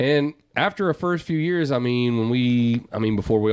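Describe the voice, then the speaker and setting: At a moderate pace and with ordinary pitch variation, a man speaks in a plain, everyday voice. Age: 30s. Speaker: vintage clothing business owner. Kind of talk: casual chat.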